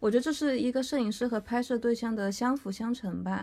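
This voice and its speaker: A woman speaks at a moderate pace, somewhat breathy. Her pitch varies in an ordinary way. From Chengdu, Sichuan, China. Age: 20s. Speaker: fashion photographer. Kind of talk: casual interview.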